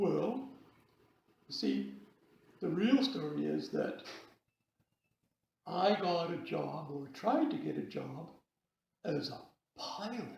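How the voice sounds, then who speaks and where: A man puts on a cartoonish character voice, high in pitch and very slow, with long, frequent pauses and a slight echo. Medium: puppet.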